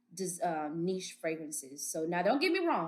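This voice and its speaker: Fairly quick and animated, a woman with an American accent talks at a fairly low pitch. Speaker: beauty vlogger. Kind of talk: product review vlog.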